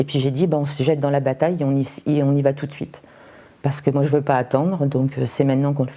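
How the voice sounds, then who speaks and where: Very deep and low, a woman's dark, mellow voice at a very fast pace in a flat monotone. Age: 60s. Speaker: cancer patient. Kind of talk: testimony. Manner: hesitant, many fillers.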